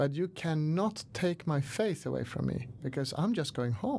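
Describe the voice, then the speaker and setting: The speech has a Swedish accent and a moderate pace. The recording is very clean, with a silent background. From Sweden, Stockholm. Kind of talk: interview. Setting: studio. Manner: hesitant, many fillers.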